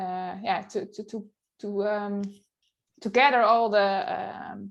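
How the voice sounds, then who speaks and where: Very slow and at medium pitch, a woman with a Dutch accent speaks with big swings in loudness. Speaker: photographer and blogger. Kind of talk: interview. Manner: halting.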